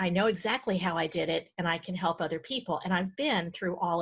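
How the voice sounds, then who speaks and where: A woman talks at a fairly quick pace, her voice somewhat breathy and her pitch varying in an ordinary way. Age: 50s. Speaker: decluttering coach and author. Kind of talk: podcast interview. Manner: halting.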